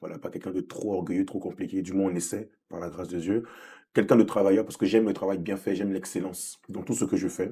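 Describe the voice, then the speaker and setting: Very deep male voice, dark and mellow, delivered very fast with ordinary pitch variation. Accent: Ivorian. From Côte d'Ivoire (Abidjan), moved to France at seven. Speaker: gospel singer. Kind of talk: interview.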